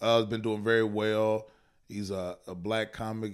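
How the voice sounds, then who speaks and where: The man's pitch is fairly low and his intonation monotone and flat. He keeps a moderate pace. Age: 30s. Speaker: stand-up comedian. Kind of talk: casual chat.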